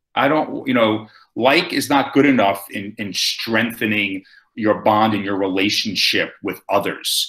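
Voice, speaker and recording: The voice is loud, with a bright, sharp tone. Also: man. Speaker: speaker on storytelling and presenting. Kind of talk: webinar talk answering questions. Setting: video call from home.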